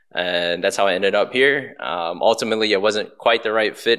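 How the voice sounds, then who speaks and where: A man's fast American-accented voice, fairly low in pitch, on a very clean recording with a silent background. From Baltimore, Maryland. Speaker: real estate agent and restaurant owner. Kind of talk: podcast interview.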